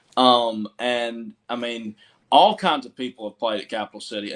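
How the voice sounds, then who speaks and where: A man with a Southern accent speaks at a medium pitch. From US South, Georgia (Milledgeville). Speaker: country musician. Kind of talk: casual interview chat.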